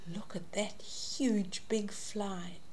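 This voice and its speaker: The speaker is a woman. She talks very slowly. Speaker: storyteller reading to a child. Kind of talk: children's story read-aloud. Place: home room. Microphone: webcam.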